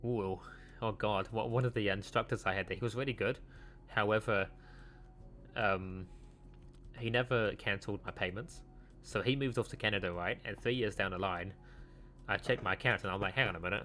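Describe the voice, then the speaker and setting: A man with a fairly low voice speaks at a fairly quick pace, leaving long, frequent pauses, with music playing in the background. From mixed: South Africa, Wales, New Zealand. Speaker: vtuber streamer. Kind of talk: casual chat. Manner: halting, many fillers.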